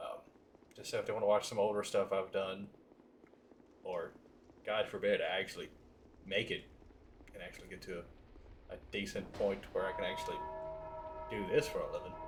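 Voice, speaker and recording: A man at a moderate pace with long, frequent pauses and big swings in loudness, over noticeable background noise. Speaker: gaming streamer. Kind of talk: live stream commentary. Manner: casual, hesitant with fillers.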